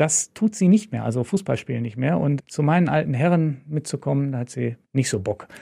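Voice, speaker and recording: Speaking at a fairly quick pace with lively intonation, a man has a fairly high pitch, a somewhat breathy quality and a dark, mellow tone. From Lower Rhine, western Germany (Moers). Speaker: sponsor representative, former journalist. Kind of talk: casual interview.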